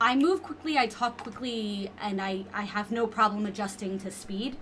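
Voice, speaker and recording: A woman speaks at a moderate pace, her fairly high voice showing ordinary pitch variation. Noticeable background noise can be heard. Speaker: podcast guest. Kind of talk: casual chat. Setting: video podcast recording. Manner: loud.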